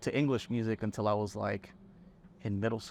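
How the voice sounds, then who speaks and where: A man at a medium pitch, talking at a very fast pace with a Spanish accent. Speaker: songwriter and band musician. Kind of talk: casual chat. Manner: animated.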